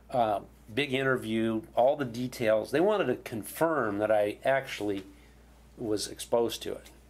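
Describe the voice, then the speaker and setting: This man has an ordinary speaking voice, medium in pitch, with ordinary pitch variation at a moderate pace. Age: 60s. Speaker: Vietnam veteran pilot. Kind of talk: interview. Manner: casual, conversational.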